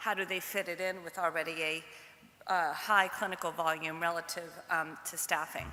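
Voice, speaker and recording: With a New York accent, this voice moves along at a moderate pace. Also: woman. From US Northeast, New York. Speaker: pediatric oncology nutrition researcher. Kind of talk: conference lecture.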